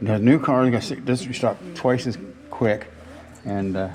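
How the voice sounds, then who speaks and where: A man talks fairly slowly, his pitch varying in an ordinary way, while noticeable background noise sounds behind him. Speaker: hot rod builder. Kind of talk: casual chat. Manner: halting.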